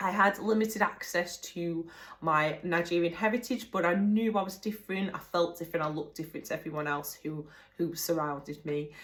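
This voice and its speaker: A woman's fairly low voice shows ordinary pitch variation. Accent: English. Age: 20s. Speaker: singer and dancer. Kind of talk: personal testimony. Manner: casual, with hesitations.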